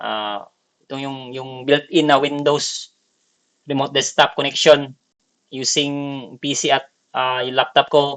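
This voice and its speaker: A Visayan accent, a bright, sharp tone, big swings in loudness and a fairly slow pace. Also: man. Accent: non-native Tagalog, Bisaya. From Bicol / Visayas, Philippines. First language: Bisaya (speaking Tagalog). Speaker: gaming tutorial creator. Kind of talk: tutorial. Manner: halting, many fillers.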